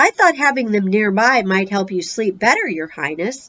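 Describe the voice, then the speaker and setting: A woman at medium pitch performs a put-on character voice. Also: moderate pace. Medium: read story.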